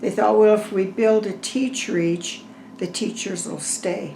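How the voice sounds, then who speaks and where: With an American accent, a woman speaks at a very slow pace and with ordinary pitch variation, amid noticeable background noise and audible room echo. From Severance, Colorado, US. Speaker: oral history interviewee. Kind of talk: oral history interview.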